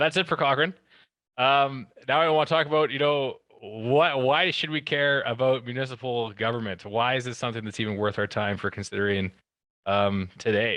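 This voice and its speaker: A man with a western Canadian accent, medium-pitched and bright, sharp in tone, at a fairly quick pace with ordinary pitch variation against a quiet background. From Alberta, Canada. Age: 30s. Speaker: town councillor. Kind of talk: presentation.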